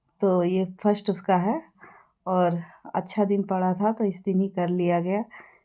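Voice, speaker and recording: A woman's dark, mellow voice at a medium pitch, very slow in pace, with fairly even intonation. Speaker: vlogger. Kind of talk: vlog narration. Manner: conversational, with fillers.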